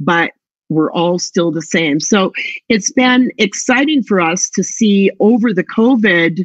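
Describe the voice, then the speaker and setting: In a quiet background with a dry, close sound and no echo, a woman talks fairly slowly in a plain, everyday voice at a medium pitch. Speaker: travel tech sales presenter. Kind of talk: product pitch with screen demo.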